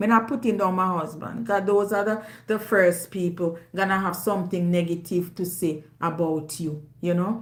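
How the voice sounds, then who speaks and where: This woman speaks with a Jamaican accent at a medium pitch, her intonation fairly even. She hardly pauses, and audible room echo surrounds her. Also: moderate pace. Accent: Jamaican, with patois. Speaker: YouTuber. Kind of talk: casual monologue to audience. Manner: loud.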